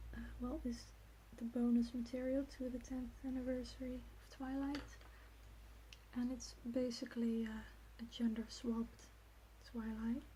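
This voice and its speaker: Soft-spoken and relaxed in tone, a woman talks at a fairly slow pace with long, frequent pauses over noticeable background noise. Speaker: ASMR creator. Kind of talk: casual talk to camera, ASMR soft speaking. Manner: soft-spoken, relaxed, rambling.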